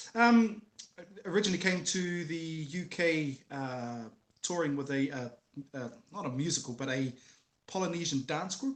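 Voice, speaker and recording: Here a man speaks in a New Zealand accent at a moderate pace. His pitch is fairly high, and his intonation is lively. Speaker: former MMA fighter and musician. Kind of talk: casual interview chat.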